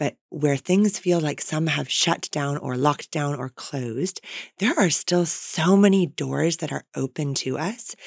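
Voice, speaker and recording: A woman with an American accent speaks at a fairly slow pace in a very deep, low pitch. Her pitch varies in an ordinary way, and the sound is dry and close with no echo. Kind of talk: interview. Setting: studio.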